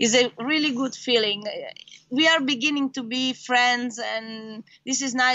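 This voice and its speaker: Speaking in an Italian accent, a woman talks at a fairly slow pace with a high pitch. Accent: Italian, noticeable. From Italy. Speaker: racing driver. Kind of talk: interview. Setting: video call. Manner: halting.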